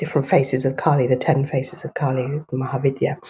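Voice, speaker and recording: The speaker is a woman with a dark, mellow tone. Her voice is somewhat breathy. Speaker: herbalist, naturopath and acupuncturist. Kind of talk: interview answer. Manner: gentle.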